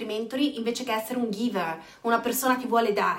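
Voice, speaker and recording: A woman's animated, high-pitched voice at a fairly quick pace, with audible room echo and noticeable background noise. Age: 40s. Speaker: network marketing coach. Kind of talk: live stream chat.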